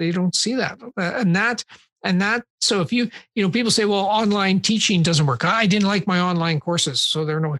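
A man's high-pitched voice at a moderate pace, very even in loudness, with a dry, close sound, no echo and a very clean recording over a silent background. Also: ordinary pitch variation. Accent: Canadian. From Canada, Saskatchewan (Saskatoon). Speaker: university professor of German studies. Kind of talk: casual interview. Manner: halting, many repetitions and fillers.

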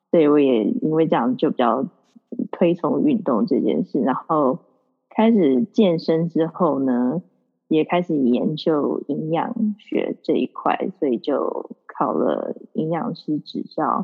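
Very slow speech from a woman with a fairly low pitch and very wide pitch swings. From Taiwan, then New Zealand from age ~11. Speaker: nutrition and wellness coach. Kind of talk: casual interview. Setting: at home in the evening. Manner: energetic.

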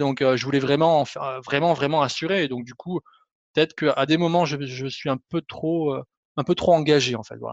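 Here a man with a plain, everyday voice and fairly high pitch talks at a fairly quick pace in fairly even intonation, the sound dry and close with no echo. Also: quiet background. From southern France, Montpellier area. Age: 30s. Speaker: web developer. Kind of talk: interview.

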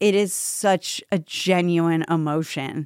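A woman has a normal speaking voice, fairly low in pitch with fairly even intonation. The recording is very clean, dry and close, with no echo and a silent background. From Tampa, Florida, US. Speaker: stand-up comedian. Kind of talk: casual interview chat.

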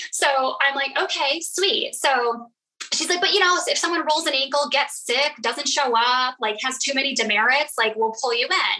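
At a high pitch, a woman uses a raised, projected voice with very even loudness. Her pace is moderate and her pitch variation ordinary. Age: 40s. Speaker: network marketing leader. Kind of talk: casual interview.

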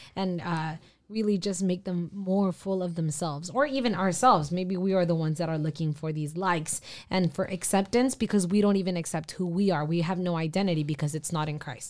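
A woman with a plain, everyday voice, fairly low in pitch, speaks at a fairly quick pace with ordinary pitch variation on a very clean recording with a silent background. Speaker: youth podcast panelist. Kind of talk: casual faith discussion.

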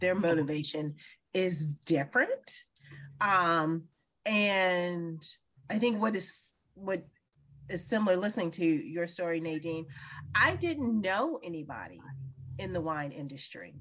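A woman speaks at a fairly slow pace with long, frequent pauses. Her fairly low voice shows ordinary pitch variation. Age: 50s. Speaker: wine business owner. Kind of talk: casual chat. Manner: halting.

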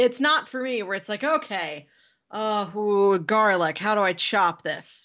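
Using an ordinary speaking voice, a woman talks at a medium pitch and a moderate pace with lively intonation. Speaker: podcast co-host. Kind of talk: casual chat. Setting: video call.

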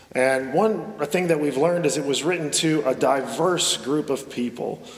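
A man talks slowly at a fairly high pitch. Noticeable background noise sits behind him. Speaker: pastor. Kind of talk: sermon. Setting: church; stage with audience.

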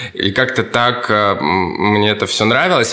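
There is audible room echo and noticeable background noise as a man speaks at a medium pitch with ordinary pitch variation. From Russian Far East (Kamchatka). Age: 30s. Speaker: stylist and fashion teacher. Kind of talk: interview answering kids' questions.

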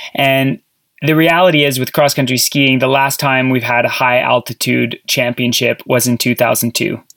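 A man with a Canadian accent uses an ordinary speaking voice at medium pitch and a moderate pace, his intonation fairly even, his loudness very even and the sound dry and close with no echo. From Canada. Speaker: podcast co-host, former cross-country skier. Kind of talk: casual interview chat.

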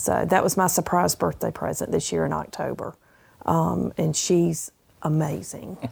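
A woman with a Southern US accent at a moderate pace, on a very clean recording with a silent background. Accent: Southern US (Georgia). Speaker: retiree, farmer's wife. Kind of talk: interview.

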